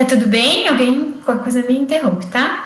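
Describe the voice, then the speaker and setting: Audible room echo surrounds a woman's voice. She has a high pitch with ordinary pitch variation. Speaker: occupational therapy lecturer. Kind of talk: lecture. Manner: slow; halting.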